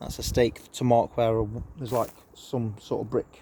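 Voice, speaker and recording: At a fairly slow pace, the speaker's tone sounds dark and mellow. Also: man. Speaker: allotment vlogger. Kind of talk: casual vlog. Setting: outdoors on allotment. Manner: hesitant, many fillers.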